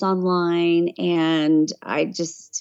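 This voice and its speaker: This is a woman speaking. She has a slight Southern US accent. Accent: slight Southern hillbilly. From Tennessee. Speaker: voiceover artist and travel vlogger. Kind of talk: casual interview chat. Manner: hesitant, many fillers.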